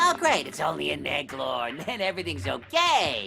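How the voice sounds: A cartoonish character voice with very wide pitch swings and vocal fry moves at a moderate pace in a bright, sharp tone. Faint music plays in the background.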